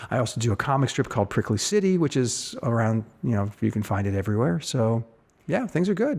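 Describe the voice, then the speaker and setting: The recording is very clean, with a silent background. A man talks at a fairly quick pace and medium pitch. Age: 60s. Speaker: editorial cartoonist. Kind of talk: interview. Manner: halting.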